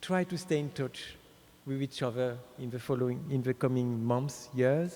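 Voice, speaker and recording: With a French accent, a man keeps fairly even intonation and a dark, mellow tone at a moderate pace. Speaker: speaker at an award ceremony. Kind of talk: ceremonial speech.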